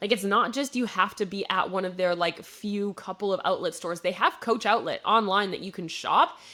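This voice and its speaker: Medium in pitch, a woman talks with ordinary pitch variation in a Midwestern US accent. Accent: Midwest accent, shows on some words. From US Midwest, Wisconsin. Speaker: business podcast host. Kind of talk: solo podcast case study talk. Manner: casual, conversational with fillers.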